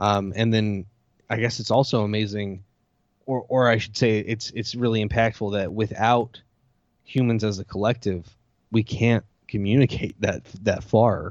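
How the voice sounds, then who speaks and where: A man speaks with an American accent and a fairly low pitch. His intonation is monotone and flat, at a moderate pace. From US. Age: 30s. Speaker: podcast host. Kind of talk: casual chat.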